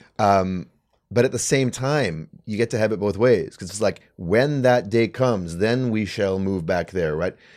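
With a Canadian accent and an unremarkable speaking voice, a man speaks at a fairly slow pace and a fairly low pitch with ordinary pitch variation, on a very clean recording with a silent background. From Canada. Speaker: writer and commentator. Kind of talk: casual chat. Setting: studio.

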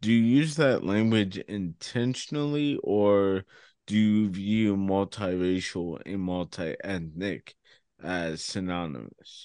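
Against a quiet background, a man talks very slowly in a fairly low, dark, mellow voice with lively intonation. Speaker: podcast co-host. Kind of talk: casual chat. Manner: energetic.

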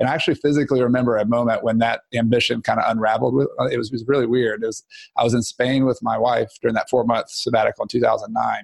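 Talking at a very fast pace, a man leaves hardly any pauses and keeps his loudness very even. The sound is dry and close, with no echo. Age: 30s. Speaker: real estate investor and author. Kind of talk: casual chat.

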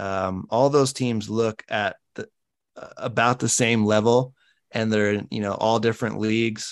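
Against a quiet background, a man uses a normal speaking voice at a medium pitch and a fairly slow pace. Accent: General American. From Colorado. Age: 30s. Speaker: podcast host and former college soccer player. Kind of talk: casual chat.

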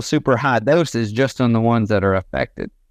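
A Southern US accent at a moderate pace with lively intonation. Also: man. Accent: Southern US (Georgia). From Northwest Georgia, US South. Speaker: veterinarian. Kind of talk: interview, casual technical explanation.

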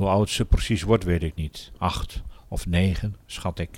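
A man's fairly slow delivery. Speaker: audiobook narrator. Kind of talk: literary audiobook reading, diary-style first-person narration of wartime forced labour. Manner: earnest, subdued and weary, with flashes of bitter anger.

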